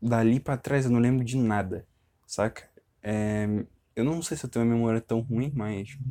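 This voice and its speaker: His voice is medium in pitch, with a dark, mellow tone and fairly even intonation. The man keeps a moderate pace but takes long, frequent pauses. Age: 20s. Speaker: podcaster. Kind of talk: personal monologue. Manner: halting; casual.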